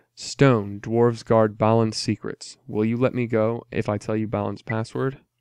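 In a natural voice, the words are read aloud.

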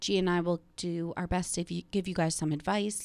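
With a medium pitch, a woman keeps to a moderate pace. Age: 30s. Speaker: podcast host. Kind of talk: casual chat. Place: studio. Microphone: studio mic.

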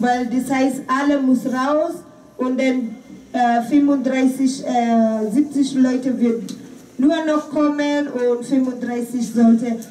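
The intonation is monotone and flat, the pace very slow. Noticeable background noise and audible room echo are present. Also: woman, high pitch for a woman. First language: not German (speaking German). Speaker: volunteer refugee activist. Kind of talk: press conference statement. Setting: press conference.

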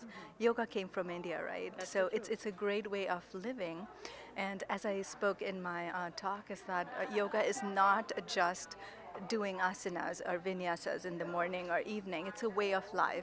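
A woman speaks at a moderate pace with fairly even intonation. The sound is dry with no echo, with noticeable background noise. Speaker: conference speaker. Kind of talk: interview answer. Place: hall. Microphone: handheld.

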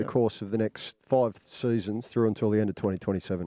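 A man with a dark, mellow tone speaks at a moderate pace with ordinary pitch variation. The sound is dry with no echo, over a quiet background. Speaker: radio co-host. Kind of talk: heated argument. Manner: pressing, confrontational. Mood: pressing, confrontational. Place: studio. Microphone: studio mic.

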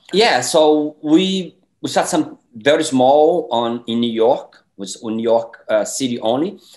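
Someone with a Portuguese accent speaks at a very slow pace with lively intonation. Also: man. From Brazil. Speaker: independent filmmaker. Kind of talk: interview. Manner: halting, many fillers. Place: home room. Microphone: webcam.

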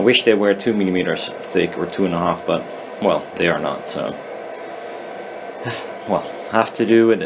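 A man talks at a moderate pace in a fairly low pitch with ordinary pitch variation. Noticeable background noise is present. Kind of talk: casual tutorial commentary. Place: workshop. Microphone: phone near.

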